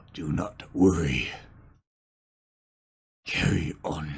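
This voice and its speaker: A man puts on a character voice. It is gruff and raspy, with a very deep, low pitch. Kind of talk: reassuring, brief. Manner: whispering.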